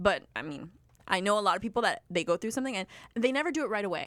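On a very clean recording with a silent background, a woman talks very fast with lively intonation and a fairly high pitch. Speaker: podcast host. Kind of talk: casual chat.

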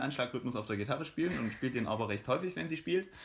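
This man has an unremarkable speaking voice at medium pitch, with lively intonation. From Saxony, eastern Germany. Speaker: podcast co-host, student. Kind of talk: casual chat.

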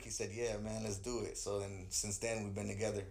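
The voice belongs to a man. It carries a somewhat breathy quality. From Artesia, Southern California (born Queens, New York, moved at eight). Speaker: hip hop artist. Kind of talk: casual interview. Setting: studio.

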